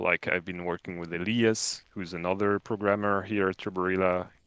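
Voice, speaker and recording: Speaking in a French accent, a man with a very deep, low pitch delivers his words in a flat monotone with a bright, sharp tone. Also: quiet background. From France. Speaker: game programmer. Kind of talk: casual livestream chat.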